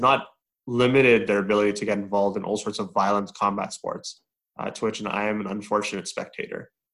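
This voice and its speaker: The speaker is a man with a normal speaking voice at a fairly low pitch. He keeps a fairly quick pace and fairly even intonation. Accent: Canadian. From Edmonton, Canada. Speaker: co-host, organization CEO.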